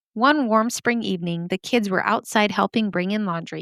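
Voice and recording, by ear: Someone reads aloud in a natural voice, the pitch shifting in an ordinary way.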